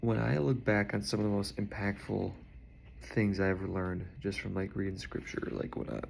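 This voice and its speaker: With noticeable background noise behind him, a man speaks quietly in a fairly low pitch with lively intonation. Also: moderate pace. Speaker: video blogger talking to his partner. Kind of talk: casual personal video message. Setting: indoors, unpacking packages. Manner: quiet, low voice; casual, chatty.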